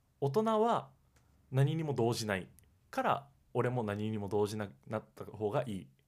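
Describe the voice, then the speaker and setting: Long, frequent pauses break up a man's speech at a moderate pace. His pitch is medium with ordinary pitch variation. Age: 20s. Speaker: podcast co-host, university student. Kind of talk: casual chat; show intro tagline.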